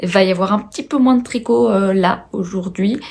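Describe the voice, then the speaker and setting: A somewhat breathy woman talks at a moderate pace with ordinary pitch variation. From France, Haute-Savoie. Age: 20s. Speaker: knitting and sewing video podcaster. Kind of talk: casual video podcast chat. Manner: hesitant, many filler words.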